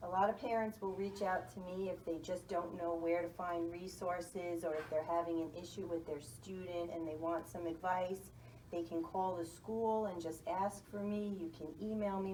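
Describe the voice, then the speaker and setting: A woman with a New York accent and a fairly low pitch speaks with fairly even intonation and hardly any pauses, with audible room echo and noticeable background noise. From US Northeast, New York City. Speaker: school guidance counselor. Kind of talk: interview.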